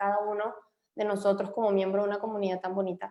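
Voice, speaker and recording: A woman talks at a very fast pace in a Venezuelan accent. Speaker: immigration lawyer. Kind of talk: webinar chat. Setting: video call.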